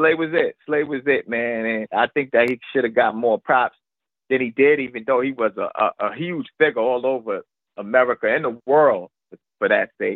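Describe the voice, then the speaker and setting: At a moderate pace, a man with a New York accent talks with ordinary pitch variation. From New York, Brooklyn. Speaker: rapper. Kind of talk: interview. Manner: halting, repeats words.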